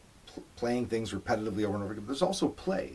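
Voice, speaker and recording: A man with a fairly low pitch talks against noticeable background noise. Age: 50s. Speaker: musician, interviewer's father. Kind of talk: casual interview.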